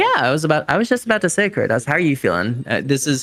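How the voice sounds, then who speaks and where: Very fast pace and very wide pitch swings against noticeable background noise. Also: man. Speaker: speedrun commentator. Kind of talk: live commentary. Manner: animated.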